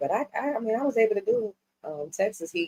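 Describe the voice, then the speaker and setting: With a New York accent, a woman talks in very wide pitch swings. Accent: New York accent, noticeable on certain words. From New York City, Harlem and South Bronx. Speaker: music management executive. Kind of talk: casual interview chat.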